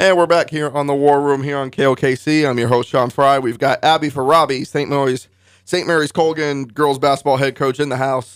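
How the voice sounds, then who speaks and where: With a normal speaking voice, a man talks at a fairly quick pace, his pitch fairly high and his intonation fairly even. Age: 20s. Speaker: sports radio host and reporter. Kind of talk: radio interview. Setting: radio studio.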